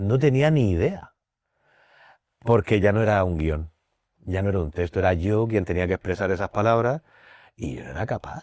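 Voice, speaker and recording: A man speaks at a moderate pace in a Murcian accent, his pitch fairly low and his intonation lively, with long, frequent pauses. The sound is dry and close with no echo, and the recording is very clean against a silent background. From Spain, Murcia. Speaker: blind actor and drama teacher. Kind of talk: podcast interview.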